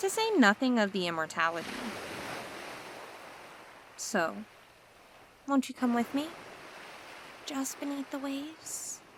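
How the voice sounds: A woman puts on a character voice, high-pitched with big pitch swings. She talks at a slow pace, leaving long, frequent pauses.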